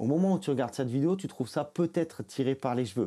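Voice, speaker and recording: On a very clean recording with a silent background, a man's dark, mellow voice moves through very wide pitch swings. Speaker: crypto YouTuber. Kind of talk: scripted narration.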